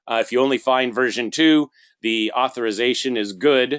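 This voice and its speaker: A man with an unremarkable speaking voice, medium in pitch, at a moderate pace. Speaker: software trainer. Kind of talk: tutorial.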